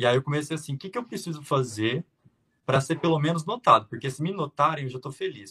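A very fast, fairly high-pitched male voice, bright and sharp in tone, with lively intonation. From Brazil, Minas Gerais (Triângulo Mineiro). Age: 20s. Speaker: flight attendant. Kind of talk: interview.

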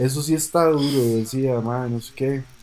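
A man's fairly high voice, a plain, everyday voice, moves with ordinary pitch variation. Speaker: podcast co-host, engineer. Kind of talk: casual chat.

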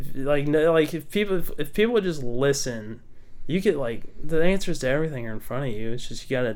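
Speaking at a fairly quick pace with lively intonation, a man with an American accent uses an unremarkable speaking voice pitched fairly high for a man. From Texas. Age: 20s. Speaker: engineering student. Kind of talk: casual chat.

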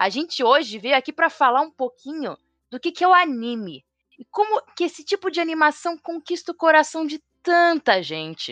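A high-pitched woman with lively intonation and big swings in loudness at a moderate pace, in a dry, close sound with no echo and a quiet background. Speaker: podcast host. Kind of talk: casual chat.

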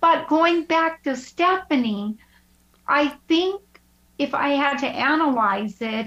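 A woman speaks at a slow pace with a high pitch. Her intonation is lively and her tone fairly bright.

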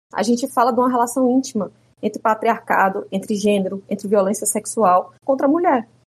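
The speaker here is a woman. Her pace is fairly quick. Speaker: jurist and activist. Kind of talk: interview conversation.

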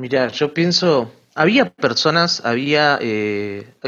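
A man speaks with an Argentine accent. His intonation is lively. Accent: Argentine Spanish (voseo). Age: 20s. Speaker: writer and seminary student. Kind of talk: interview testimony.

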